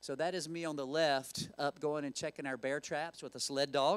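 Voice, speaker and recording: The speaker is a man with a Southern Appalachian accent. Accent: Southern Appalachian country. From western North Carolina, Appalachians near Asheville. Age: 50s. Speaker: zookeeper and conservation founder. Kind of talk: lecture. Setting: stage with audience. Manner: casual, with many filler words.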